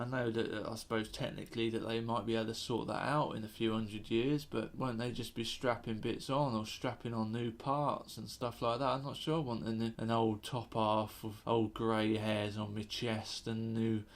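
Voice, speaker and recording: Recorded very cleanly against a silent background, a man at medium pitch speaks in a monotone, flat intonation at a moderate pace with hardly any pauses. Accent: British. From UK. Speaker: comedian. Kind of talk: comedic monologue. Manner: casual, hesitant with fillers.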